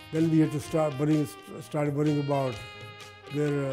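Clear music plays in the background as a man speaks at a fairly high pitch. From Punjab, India. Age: 80s+. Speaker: immigrant grandfather. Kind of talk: interview answer, personal life reflection. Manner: hesitant, many fillers. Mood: proud, reflective. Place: home room. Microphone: lapel.

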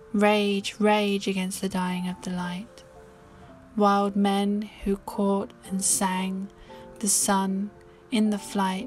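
A woman's calm, soothing, monotone voice at medium pitch and a very slow pace, with flat intonation and music in the background. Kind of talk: poetry reading.

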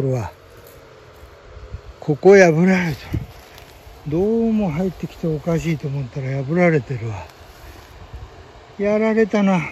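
With light background noise and a dry sound with no echo, a high-pitched man speaks at a moderate pace with lively intonation and long, frequent pauses. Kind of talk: casual vlog chat. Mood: surprised, mildly annoyed. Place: open country. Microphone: phone near.

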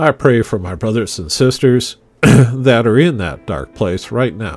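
With music in the background, a man talks at a fairly slow pace in a fairly low pitch that swings very widely. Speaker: church pastor. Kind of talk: spoken prayer. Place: home room.

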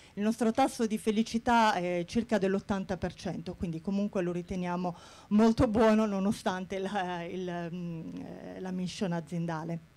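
A woman speaks with a dark, mellow tone at a fairly slow pace. Her intonation stays fairly even. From Bari, southern Italy; Italy. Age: 40s. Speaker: HR manager. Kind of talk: conference talk. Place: hall. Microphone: handheld.

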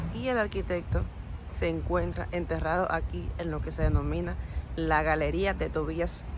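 Over noticeable background noise, a woman speaks fairly slowly, the sound dry with no echo. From Cuba. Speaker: YouTube vlogger; travel vlogger. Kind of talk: walking tour vlog. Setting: outdoors. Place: open country. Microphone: phone near.

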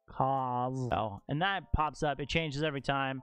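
Over faint music in the background, the speech moves at a moderate pace with fairly even intonation and a dry sound with no echo. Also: man. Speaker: streamer teaching viewers. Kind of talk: tutorial. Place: home room. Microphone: studio mic.

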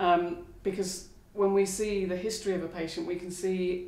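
A woman speaks at a moderate pace. There is audible room echo. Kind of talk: interview answer. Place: studio.

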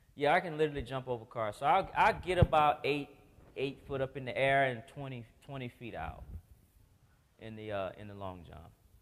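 With an animated tone and lively intonation, a man speaks at a moderate pace, leaving long, frequent pauses and swinging widely in loudness. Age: 40s. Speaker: Paralympic athlete and motivational speaker; motivational speaker. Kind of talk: testimony. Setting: stage with audience. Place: church.

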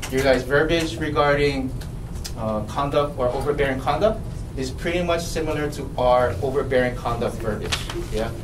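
There is noticeable background noise as a man with a fairly high voice talks at a moderate pace with ordinary pitch variation. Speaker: police officer. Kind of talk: briefing presentation. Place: meeting room.

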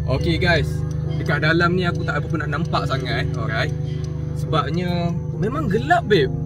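Over loud background music, a man talks at a moderate pace with long, frequent pauses. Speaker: vlogger. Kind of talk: casual vlog chat. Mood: startled, nervous in the dark. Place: car. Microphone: phone near.

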